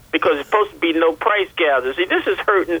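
There is noticeable background noise as a man talks at a very fast pace. His voice is high, with ordinary pitch variation. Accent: American. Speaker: radio caller. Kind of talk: call-in chat. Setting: phone call.

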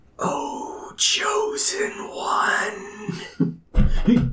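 Pitched extremely high, a man's put-on character voice fills the clip. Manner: dramatic, grand.

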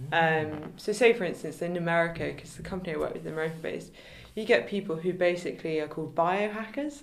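With a southern English accent, a woman talks at a very fast pace and a fairly low pitch, with ordinary pitch variation. Her loudness swings widely, and there is audible room echo. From England, Kent. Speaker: photographer and business founder. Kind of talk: interview.

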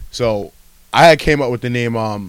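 A plain, everyday voice comes through with ordinary pitch variation. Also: man. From Massachusetts. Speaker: rapper. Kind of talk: casual chat.

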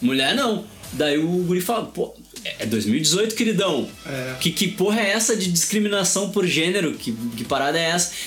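A high-pitched man talks at a moderate pace with very wide pitch swings, amid noticeable background noise and audible room echo. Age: 40s. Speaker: podcast host. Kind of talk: casual chat.

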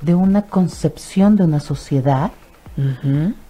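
A woman with a Mexican accent. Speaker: psychologist and sexologist. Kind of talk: radio interview. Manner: animated.

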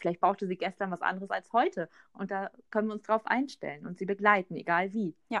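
A woman's unremarkable speaking voice at medium pitch, fairly quick and fairly even in intonation, with a dry, close sound with no echo and a quiet background. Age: 30s. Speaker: doula and women's coach. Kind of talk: group discussion.

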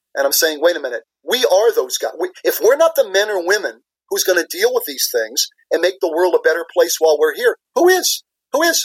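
A man with an American accent at a fairly quick pace, dry and close with no echo. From US Midwest (Minnesota). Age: 60s. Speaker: business executive and leadership professor. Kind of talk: interview.

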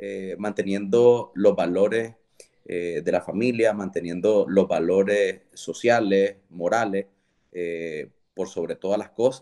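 The voice has a dark, mellow tone and fairly even intonation, moving at a very slow pace with big swings in loudness. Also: man, fairly low pitch for a man. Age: 30s. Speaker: entrepreneur. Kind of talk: interview. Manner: halting, frequent repetitions.

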